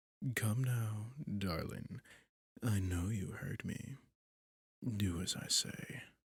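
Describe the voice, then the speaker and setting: A put-on character voice at a very slow pace, with long, frequent pauses. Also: man, fairly low pitch for a man. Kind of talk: yandere seduction roleplay. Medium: audio drama. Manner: velvety, controlled, condescending.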